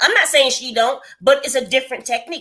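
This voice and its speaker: Loud speech at a very fast pace. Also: woman. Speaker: lifestyle vlogger hosting a live stream. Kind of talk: casual chat. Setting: live stream. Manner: varying pitch when explaining.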